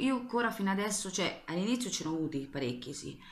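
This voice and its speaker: A woman talks at a fairly quick pace. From Marche, Italy (Ancona); Marche, Italy. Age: 20s. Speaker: YouTuber, nail art and makeup creator; vlogger. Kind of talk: casual Q&A vlog. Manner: rambling, hesitant with fillers. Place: bathroom. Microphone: webcam.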